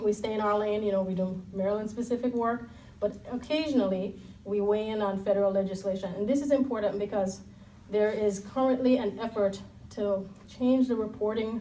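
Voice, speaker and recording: A woman speaks at a fairly quick pace with fairly even intonation. Noticeable background noise runs underneath. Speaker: civil liberties policy director. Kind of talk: panel talk. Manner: soft-spoken.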